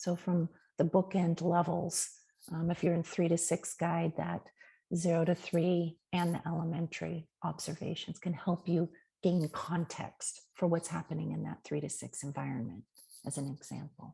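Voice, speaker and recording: A woman's fairly low, dark and mellow voice with vocal fry, flat monotone intonation, a moderate pace and a quiet background. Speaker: Montessori teacher trainer. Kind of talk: webinar presentation. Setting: online webinar.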